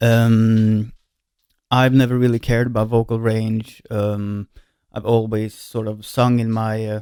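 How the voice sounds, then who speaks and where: Man with a medium-pitched, dark, mellow tone, a Swedish accent, fairly slow pace and monotone, flat intonation. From Sweden. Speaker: singer and musician. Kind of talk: casual vlog talk. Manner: hesitant, many fillers.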